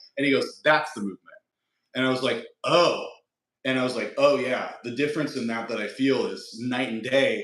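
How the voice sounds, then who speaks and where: A man at a moderate pace with an American accent, audible room echo around him. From Nebraska, US Midwest. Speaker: fitness influencer. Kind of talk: casual interview.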